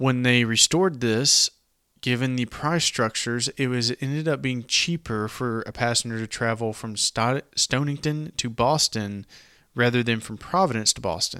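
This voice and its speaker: This man talks at a moderate pace with a Southern US accent, his pitch medium and its variation ordinary. The tone is bright and sharp, and the sound is dry and close with no echo. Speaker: podcast host. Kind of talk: casual history podcast narration.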